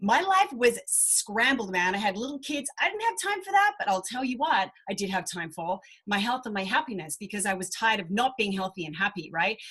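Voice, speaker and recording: A woman with a fairly high pitch talks in an animated tone with lively intonation, at a fairly quick pace with hardly any pauses. Noticeable background noise runs underneath. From Australia. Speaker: business coach. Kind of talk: webinar presentation.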